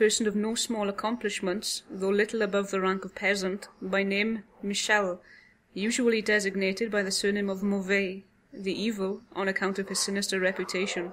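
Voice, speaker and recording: At a moderate pace, a woman speaks with medium pitch and monotone, flat intonation. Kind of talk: audiobook horror story reading. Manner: soft, easy listening.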